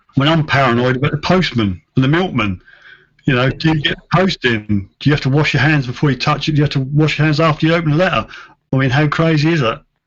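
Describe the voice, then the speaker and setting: The voice is somewhat breathy and moves at a very fast pace. Its loudness stays very even, with ordinary pitch variation. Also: man, fairly high pitch for a man. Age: 60s. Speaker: metal detectorist. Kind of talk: live stream chat.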